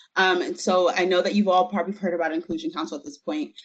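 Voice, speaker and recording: A woman is speaking. Her pitch swings very widely. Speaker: university civil rights investigator. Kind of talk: meeting presentation. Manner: fast.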